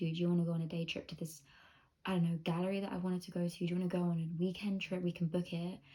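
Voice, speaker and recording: Somewhat breathy and dark, mellow in tone, the voice races along at a very fast pace with monotone, flat intonation. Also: woman. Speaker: lifestyle vlogger and manifestation coach. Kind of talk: casual vlog advice monologue. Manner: hushed, soft; casual, filler-heavy.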